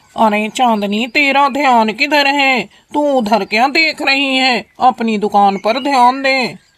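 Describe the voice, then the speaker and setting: This is a cartoonish character voice that sounds female, fairly high in pitch. It moves at a fairly slow pace with hardly any pauses. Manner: gruff, bossy.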